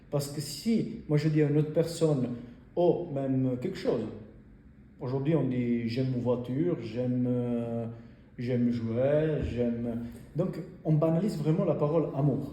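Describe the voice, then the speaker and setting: Speaking at a fairly slow pace with long, frequent pauses, a man with an Italian accent has a fairly high pitch and ordinary pitch variation, with audible room echo and noticeable background noise. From Italy. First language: Italian (speaking French). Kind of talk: talk about faith to an audience. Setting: in front of a group. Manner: halting, many hesitations.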